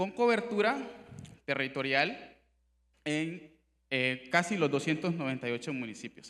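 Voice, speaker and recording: His pitch rises and falls very widely. The man keeps to a moderate pace. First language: Miskito (speaking Spanish). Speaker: human rights official. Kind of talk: conference presentation. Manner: formal.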